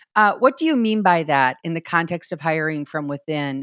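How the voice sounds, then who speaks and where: A woman with a Minnesotan accent, fairly low in pitch with ordinary pitch variation, in a very clean, dry, close recording with a silent background and no echo. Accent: Minnesota. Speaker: podcast host, church consultant. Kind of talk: interview.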